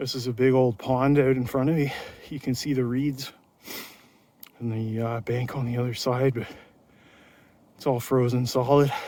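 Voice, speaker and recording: A man of medium pitch speaks at a moderate pace in a monotone, flat way, with long, frequent pauses. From Canada. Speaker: mountain bike vlogger. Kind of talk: ride vlog narration. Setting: outdoors, winter trail ride. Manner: casual, chatty.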